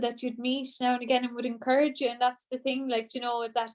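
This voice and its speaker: With an Irish accent, a woman speaks at a high pitch. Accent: Irish (Clare). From Ireland, Co. Clare (Shannon). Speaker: traditional singer. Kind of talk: interview.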